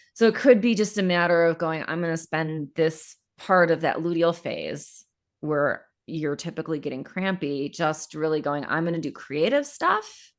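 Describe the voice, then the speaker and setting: A woman with a plain, everyday voice speaks at a moderate pace and fairly low pitch with ordinary pitch variation, on a very clean recording with a silent background. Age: 40s. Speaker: period coach and podcast host. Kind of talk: live coaching podcast conversation.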